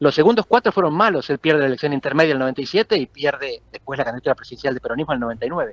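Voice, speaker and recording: At a very fast pace, a man with a fairly high pitch talks with lively intonation in a dry, close sound with no echo. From Argentina. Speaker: political scientist. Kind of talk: interview.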